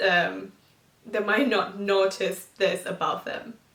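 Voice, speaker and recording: A woman with a medium-pitched voice speaks very slowly. Background noise is noticeable. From Thailand, Bangkok. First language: Thai. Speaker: vlogger. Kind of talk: casual vlog talk to camera. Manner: halting, many fillers.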